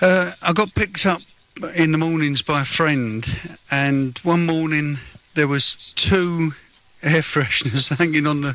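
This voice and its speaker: Pitch varies in an ordinary way. Noticeable background noise runs underneath. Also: man. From London (Fulham). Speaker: patient with rare condition. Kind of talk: radio interview.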